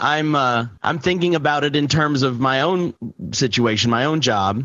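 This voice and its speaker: With a bright, sharp tone, a man speaks at a moderate pace, fairly high in pitch, with ordinary pitch variation. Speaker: podcast co-host. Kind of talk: casual chat.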